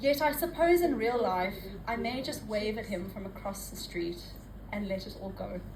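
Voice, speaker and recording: Over noticeable background noise, a woman with a fairly high pitch talks at a moderate pace, her pitch swinging very widely. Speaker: poet. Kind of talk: spoken word poetry performance. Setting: live open mic.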